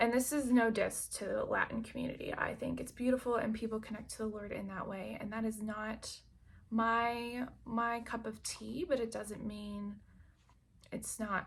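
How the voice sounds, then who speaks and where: A somewhat breathy, fairly high-pitched woman with an American accent and monotone, flat intonation. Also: moderate pace. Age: 30s. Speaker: lifestyle vlogger. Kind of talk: casual vlog monologue.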